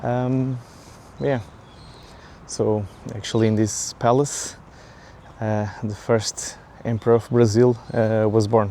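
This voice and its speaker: This man has a Portuguese accent and a medium pitch. He talks at a fairly slow pace with fairly even intonation. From Portugal. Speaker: vlogger. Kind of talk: casual vlog monologue. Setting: outdoors, walking in a park. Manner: halting, many fillers.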